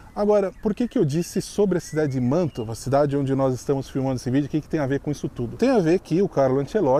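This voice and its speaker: Over noticeable background noise, a man with a fairly high pitch talks at a very fast pace, his pitch varying in an ordinary way. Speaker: YouTuber, expat video host. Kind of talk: casual vlog commentary.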